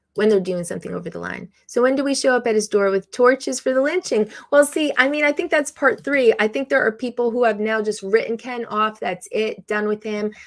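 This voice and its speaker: A woman's ordinary speaking voice at a fairly high pitch, fairly quick pace and hardly any pauses, with ordinary pitch variation, in a very clean recording with a silent background. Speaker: live stream host, drone hobbyist. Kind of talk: casual live stream chat. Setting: live stream.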